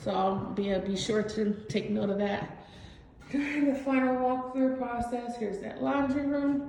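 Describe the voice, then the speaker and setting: A woman talks fairly slowly at a high pitch with ordinary variation, with audible room echo and noticeable background noise around her. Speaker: vlogger documenting her new home build. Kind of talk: home tour vlog. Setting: inside a house under construction.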